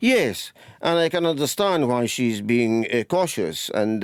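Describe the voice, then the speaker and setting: The speaker uses a Scottish accent, talking at a fairly slow pace with ordinary pitch variation. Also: man, very clean recording, silent background. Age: 70s. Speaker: retired politician. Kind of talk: radio interview.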